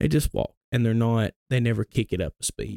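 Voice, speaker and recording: In an Alabama accent, a man speaks fairly quickly at a medium pitch with a dark, mellow tone. His pitch varies in an ordinary way, and the sound is dry and close with no echo. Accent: Southern US (Alabama). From US South, Gadsden, Alabama. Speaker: fitness entrepreneur and pest control worker. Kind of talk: casual chat.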